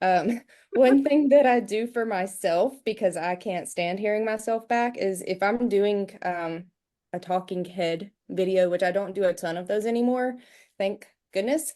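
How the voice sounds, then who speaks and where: A dark, mellow tone carries a strong Southern US accent with ordinary pitch variation. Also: woman, medium pitch for a woman, fairly slow pace. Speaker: real estate agent. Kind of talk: video call panel discussion.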